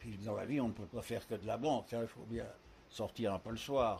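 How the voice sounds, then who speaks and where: The voice is somewhat breathy, with ordinary pitch variation and a moderate pace. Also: man. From Paris, France. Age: 90s. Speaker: retirement home resident, widower. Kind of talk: interview, life story. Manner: hesitant, frequent fillers and repetitions.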